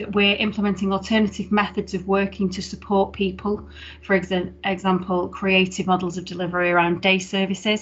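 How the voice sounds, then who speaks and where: A woman talks at a fairly quick pace at a medium pitch. Her voice is somewhat breathy, with monotone, flat intonation. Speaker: head of council adult social care service. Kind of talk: formal report presentation at council meeting. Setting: online video meeting. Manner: fast.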